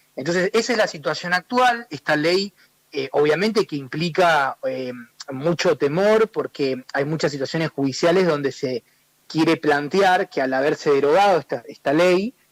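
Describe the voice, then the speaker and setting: A man talks in a fairly high pitch with ordinary pitch variation. The sound is dry and close, with no echo. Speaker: human rights advocate. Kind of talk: radio interview. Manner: fast.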